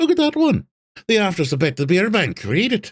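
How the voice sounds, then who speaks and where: Cackling at a moderate pace, the speaker uses a put-on character voice. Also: man. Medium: read story. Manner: scornful, boastful, rambling.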